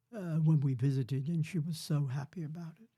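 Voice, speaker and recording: Recorded very cleanly against a silent background, a man with a fairly high pitch and a dark, mellow tone speaks at a moderate pace, somewhat breathy, his intonation fairly even. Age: 80s+. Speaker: grandfather, former prisoner of war. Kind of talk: podcast interview answer.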